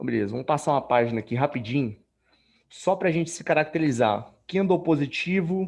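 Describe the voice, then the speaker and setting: In a normal speaking voice, a man talks at a fairly quick pace with lively intonation and fairly high pitch. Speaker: trading instructor. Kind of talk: live tutorial. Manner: casual, colloquial.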